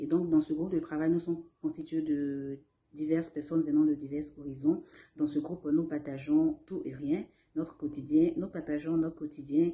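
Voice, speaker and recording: Monotone, flat intonation comes through in a dark, mellow tone. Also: woman, very deep, low pitch for a woman, moderate pace. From Côte d'Ivoire. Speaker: language learner. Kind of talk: testimony. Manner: hesitant, with fillers.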